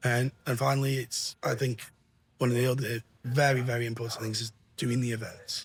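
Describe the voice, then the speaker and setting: Somewhat breathy and fairly quick, the voice runs in a monotone, flat intonation on a very clean recording with a silent background. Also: man, medium pitch for a man. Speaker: tech industry representative. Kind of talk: casual interview chat. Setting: trade show venue. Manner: halting, many fillers.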